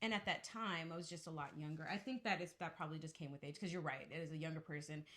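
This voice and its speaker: The speech moves at a very fast pace with hardly any pauses. Pitch variation is ordinary. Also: woman, fairly low pitch for a woman. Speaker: podcast co-host, wife and mother. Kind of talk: casual chat. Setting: home studio. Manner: soft-spoken.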